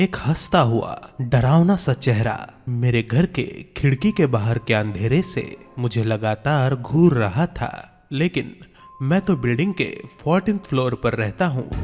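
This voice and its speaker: Over music in the background, a man speaks at a medium pitch with lively intonation. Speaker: voice-over artist. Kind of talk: horror story narration.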